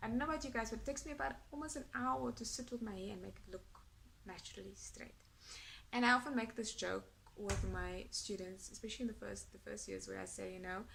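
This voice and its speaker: A woman talks at a very fast pace in a South African accent, her loudness swinging widely, with audible room echo. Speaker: academic vlogger. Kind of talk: casual vlog monologue. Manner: hesitant with fillers.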